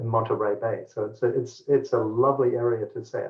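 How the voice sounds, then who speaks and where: The speaker is a man with a medium pitch. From New Guinea. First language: Pidgin. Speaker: tech company executive. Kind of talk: interview.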